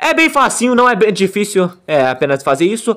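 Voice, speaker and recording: With lively intonation, a man speaks over light background noise. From Brazil. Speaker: YouTuber making homemade Beyblade tutorials. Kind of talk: tutorial; live battle commentary. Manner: animated. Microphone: phone near.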